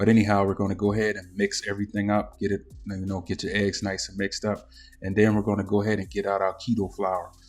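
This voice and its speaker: Over music in the background, a man with a Southern US accent talks very fast in a fairly low pitch with monotone, flat intonation. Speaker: cooking YouTuber. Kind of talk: cooking tutorial. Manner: casual, filler-heavy.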